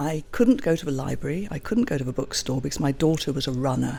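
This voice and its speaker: With a very deep, low pitch, a woman speaks in a dark, mellow tone with vocal fry and lively intonation. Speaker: online magazine publisher. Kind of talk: interview.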